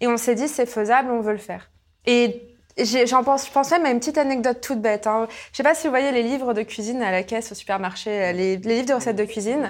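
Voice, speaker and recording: Talking very fast in a high voice, a woman shows ordinary pitch variation on a very clean recording with a silent background. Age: 20s. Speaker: entrepreneur, company president. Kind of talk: interview.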